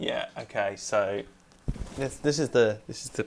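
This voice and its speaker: A man talks at a fairly slow pace. Light noise can be heard in the background. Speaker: music producer streamer. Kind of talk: live stream tutorial. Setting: home studio, live stream. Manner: mumbling at times. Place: home room. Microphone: cheap USB lav mic clipped on, may cut out; lapel.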